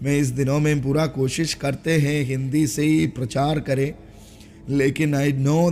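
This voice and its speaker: A man speaks with a non-native accent. His fairly high-pitched voice has a dark, mellow tone. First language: not Hindi (speaking Hindi). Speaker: pastor. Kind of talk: sermon. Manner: halting, many fillers.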